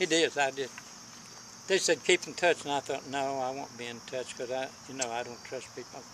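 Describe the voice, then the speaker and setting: A medium-pitched man's voice at a fairly quick pace, with fairly even intonation, big swings in loudness and noticeable background noise. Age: 80s+. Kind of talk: casual conversation.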